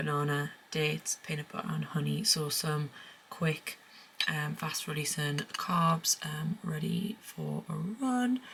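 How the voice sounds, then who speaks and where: A woman speaks quietly and very slowly in a British accent. Noticeable background noise runs under her voice. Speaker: lifestyle vlogger. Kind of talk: casual vlog chat. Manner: speaking quietly; hesitant, many fillers.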